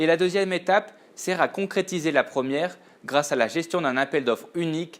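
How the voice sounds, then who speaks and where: At a fairly quick pace, a man with a Latin American accent speaks with ordinary pitch variation. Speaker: purchasing buyer. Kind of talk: scripted narration. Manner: formal.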